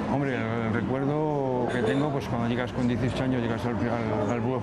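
The man rattles along very fast against loud background noise. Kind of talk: interview answer. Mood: nostalgic, warm.

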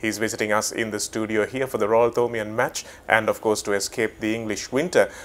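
At a fairly quick pace, a man with a plain, everyday voice speaks in a medium pitch with fairly even intonation. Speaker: sports website host / interviewer. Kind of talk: interview question. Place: studio. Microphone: lapel.

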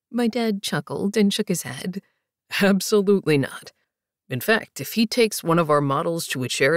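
The background stays quiet. A natural voice reads aloud.

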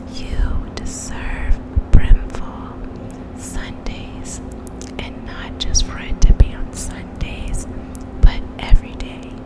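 A woman whispers at a very slow pace. There are big swings in loudness and noticeable background noise. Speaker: ASMR creator and reiki practitioner. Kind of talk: poetry reading. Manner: soft, slow, whispered.

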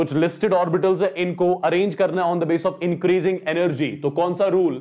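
Talking at a very fast pace, a man uses a high pitch and a dark, mellow tone over a quiet background. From India. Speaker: online chemistry teacher. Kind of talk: live online lecture, question practice. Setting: live stream, online class. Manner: casual, conversational. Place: studio.

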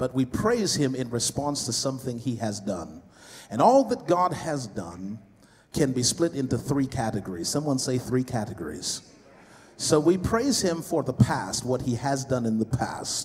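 Over light background noise, a man talks at a moderate pace with lively intonation. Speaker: preacher. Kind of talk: sermon. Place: hall. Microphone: handheld.

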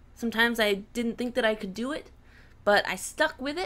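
With an ordinary speaking voice, a woman talks at a moderate pace using lively intonation. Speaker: digital artist, aspiring game developer. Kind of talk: comedic scripted intro to camera. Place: home room. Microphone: studio mic.

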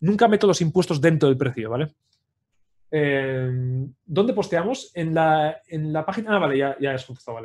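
Here a man talks in a normal speaking voice at a fairly high pitch. His pace is moderate and his intonation lively. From Spain, Pamplona (Navarre). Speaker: 3D character sculptor. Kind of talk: livestream tutorial. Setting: live video stream.

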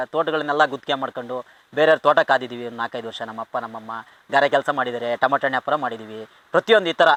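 The recording has a dry, close sound with no echo as a man speaks in a bright, sharp tone with ordinary pitch variation. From Kadur, Chikkamagaluru district, Karnataka. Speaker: comedy film actor. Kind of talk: casual interview, life story. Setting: outdoors in an areca plantation.

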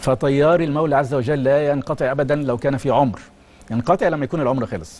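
A man's fairly high-pitched voice at a fairly quick pace, with ordinary pitch variation. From Egypt. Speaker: cardiology professor. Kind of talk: TV interview. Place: studio. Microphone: lapel.

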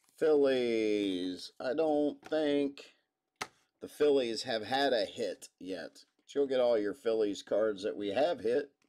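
A man's dark, mellow voice at a very slow pace, with big swings in loudness and ordinary pitch variation. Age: 40s. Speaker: sports card break host. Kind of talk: live card break stream. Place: studio.

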